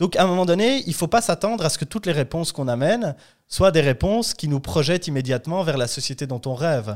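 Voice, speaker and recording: Talking at a very fast pace with lively intonation, a man is heard in a very clean recording with a silent background. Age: 30s. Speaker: political party director. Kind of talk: interview.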